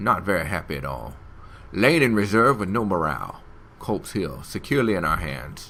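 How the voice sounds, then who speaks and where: At a moderate pace, a man with a slight Southern US accent speaks in a fairly low pitch with very wide pitch swings. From Alabama. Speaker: gaming YouTuber. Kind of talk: let's play commentary. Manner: animated.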